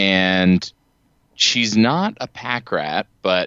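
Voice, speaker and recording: A man with an American accent speaks in a very deep, low voice. His pitch varies an ordinary amount. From US East Coast and Ohio. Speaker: higher education assessment administrator. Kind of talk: casual interview.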